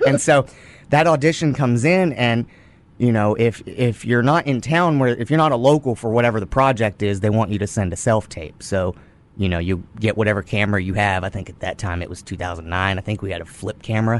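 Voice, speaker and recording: A man with a Texan accent talks at a fairly quick pace in a medium pitch, his intonation lively. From Texas. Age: 20s. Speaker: actor. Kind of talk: casual chat. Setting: studio.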